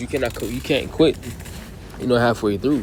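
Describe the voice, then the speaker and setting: Over noticeable background noise, a man at medium pitch speaks very fast. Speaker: religious teacher. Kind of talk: sermon. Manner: halting, many repetitions and fillers.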